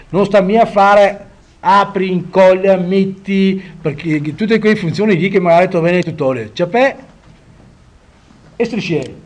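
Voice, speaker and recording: A man talks at a high pitch and a fairly slow pace. Long pauses come often. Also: ordinary pitch variation. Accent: Venetian. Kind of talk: casual software tutorial.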